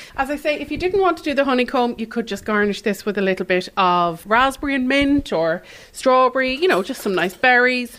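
A high-pitched woman's voice in an Irish accent, fairly quick in pace with very wide pitch swings. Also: hardly any pauses. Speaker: cookery teacher. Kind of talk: cooking demonstration. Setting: studio.

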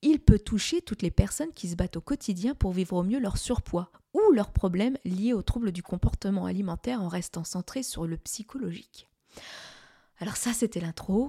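A woman talks at a moderate pace and medium pitch, her dark, mellow tone somewhat breathy, with lively intonation and big swings in loudness. The sound is dry and close, with no echo. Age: 40s. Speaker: podcast host, medical secretary. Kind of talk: casual monologue. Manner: conversational with hesitations.

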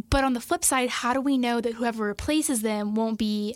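A woman speaks in a plain, everyday voice at a moderate pace. Her pitch is fairly high, with ordinary variation. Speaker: interviewer.

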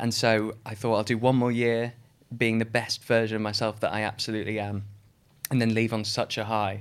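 The man speaks at a fairly quick pace. His intonation is monotone and flat. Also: medium pitch for a man. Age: 30s. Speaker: stage actor. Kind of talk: casual interview chat.

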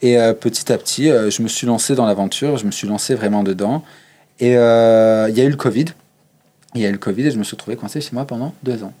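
Speaking at a fairly quick pace, a man has a medium pitch and a dark, mellow tone. His intonation is fairly even, broken by long, frequent pauses. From Savoie, eastern France (Chambéry). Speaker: drag queen. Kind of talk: interview. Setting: backstage of a bar venue.

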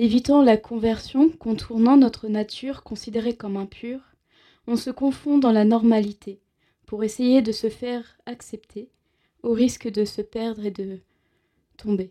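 A woman with a fairly high pitch talks at a fairly slow pace, leaving long, frequent pauses. Her tone is dark and mellow, her intonation fairly even, and her loudness swings widely. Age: 20s. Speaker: radio show co-host and slam poet. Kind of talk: slam poetry; casual chat. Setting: studio.

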